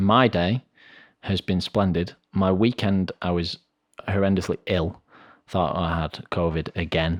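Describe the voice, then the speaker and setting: A man with an English accent speaks in a very deep, low pitch at a fairly slow pace. The sound is dry and close with no echo, and the background is quiet. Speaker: podcast co-host. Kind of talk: casual chat. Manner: animated.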